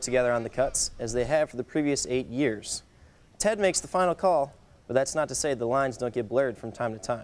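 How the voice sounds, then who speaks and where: Speaking at a fairly quick pace, a man has an ordinary speaking voice at medium pitch with ordinary pitch variation. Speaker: student sports anchor. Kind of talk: news reading.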